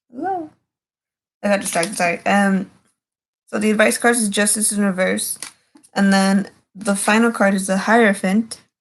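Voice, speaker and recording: The somewhat breathy voice moves at a moderate pace with fairly even intonation and long, frequent pauses. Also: woman, medium pitch for a woman. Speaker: tarot reader streamer. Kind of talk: casual livestream tarot reading. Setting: livestream at home at night. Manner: whispering; halting, filler-heavy.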